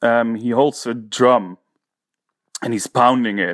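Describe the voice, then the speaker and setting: A man with a Dutch accent is heard in a dry, close sound with no echo. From Netherlands, Haarlem. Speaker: painter and teacher. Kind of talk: interview. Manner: halting.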